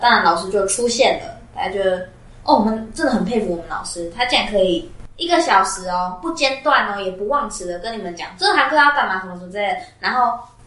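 Over noticeable background noise and audible room echo, a woman with a fairly high pitch talks at a very fast pace, with very wide pitch swings and big swings in loudness. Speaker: podcast co-host, student. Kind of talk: casual chat. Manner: animated, laughing often.

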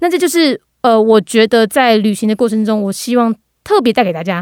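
An ordinary speaking voice moves at a fairly quick pace with lively intonation. The recording is very clean with a silent background and a dry, close sound with no echo. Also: woman. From Taiwan, Gangshan (Kaohsiung). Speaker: podcast host on international news. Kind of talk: interview.

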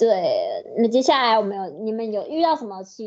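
Her intonation lively and her pitch fairly high, a woman talks at a moderate pace. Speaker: podcast co-host. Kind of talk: casual chat. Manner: animated.

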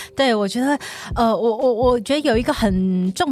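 Through noticeable background noise, a woman with a fairly high pitch talks at a moderate pace, her pitch varying in an ordinary way. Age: 40s. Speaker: counseling psychologist. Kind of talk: casual chat.

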